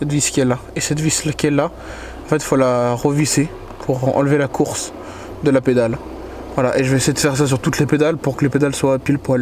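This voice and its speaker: A quiet man with a fairly high pitch, monotone, flat intonation, a fairly quick pace and long, frequent pauses, amid noticeable background noise. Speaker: car enthusiast youtuber. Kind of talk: casual DIY car vlog. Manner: speaking quietly; hesitant, many fillers.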